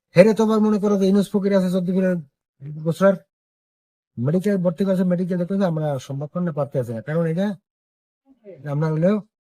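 This man has a Barishal accent and a high-pitched voice with ordinary pitch variation. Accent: Barishal dialect of Bengali. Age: 70s. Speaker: village elder, local resident. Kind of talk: interview testimony.

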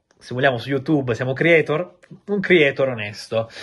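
A man talks fairly fast with normal pitch movement, little sound behind him. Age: 30s. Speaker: football transfer journalist. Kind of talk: video monologue on football transfer news. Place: home room.

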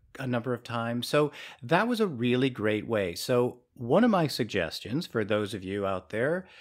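A man talks at a fairly slow pace with a medium pitch and an unremarkable speaking voice. The recording is very clean, with a silent background. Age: 50s. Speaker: podcast co-host. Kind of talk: casual podcast conversation.

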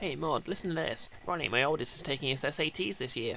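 Putting on a character voice, a man talks at a fairly quick pace in a fairly high pitch over clear background noise. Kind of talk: reading game dialogue aloud.

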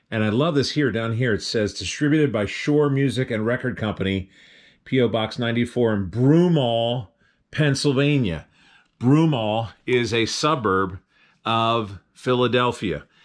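A man talks at a fairly slow pace with ordinary pitch variation in a quiet background. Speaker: thrift reseller. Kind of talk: casual vlog chat. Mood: enthusiastic, nostalgic. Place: home room. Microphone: phone near.

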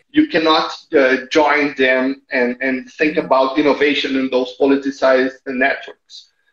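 A man with a Portuguese accent speaks at a fairly slow pace and a fairly high pitch, in a monotone, flat intonation. The room echo is audible over a quiet background. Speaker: NGO innovation manager; interview guest. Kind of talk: interview. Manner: halting, repeats words. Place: home room. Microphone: earbuds.

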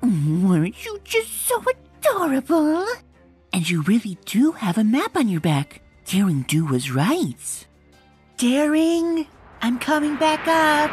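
A female-sounding put-on character voice, high-pitched and fairly slow, with faint music in the background. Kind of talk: comic book reading with character voices. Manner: soft-spoken, hesitant.

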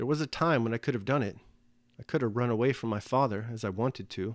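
A man's plain, everyday voice at medium pitch, fairly quick in pace and lively in intonation, on a very clean recording against a silent background. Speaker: audiobook reader and essayist.

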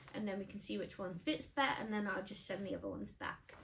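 Light background noise sits under a woman's voice. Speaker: vlogger. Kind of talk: casual vlog chat. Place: home room. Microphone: camera far.

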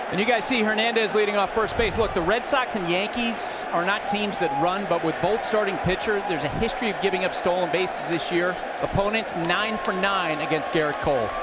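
Against noticeable background noise, a man with a high pitch speaks at a fairly quick pace with hardly any pauses and ordinary pitch variation. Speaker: baseball analyst and reporter. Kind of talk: live sports commentary. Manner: measured, storytelling analysis.

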